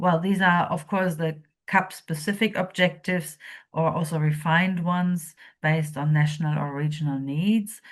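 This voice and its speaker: Against a quiet background, a woman with a non-native accent speaks at a moderate pace in a fairly low, somewhat breathy voice with fairly even intonation. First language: not English. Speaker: policy researcher presenting a training module. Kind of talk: lecture. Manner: hesitant, many fillers.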